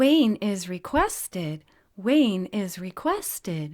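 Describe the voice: A female-sounding voice at a medium pitch puts on a character voice. She talks at a very slow pace.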